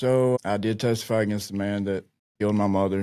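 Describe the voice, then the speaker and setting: Speaking fairly quickly, a man with an Appalachian accent has a fairly low pitch and a dark, mellow tone. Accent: Appalachian Southern American. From rural Virginia, Appalachia. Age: 40s. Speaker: army veteran in addiction recovery. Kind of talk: interview answer. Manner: candid, reflective.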